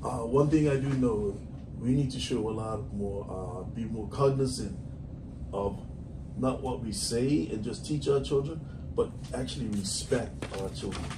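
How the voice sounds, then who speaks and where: A man at a medium pitch speaks at a fairly slow pace with lively intonation, amid noticeable background noise and audible room echo. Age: 60s. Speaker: music and preschool teacher. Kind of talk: radio interview.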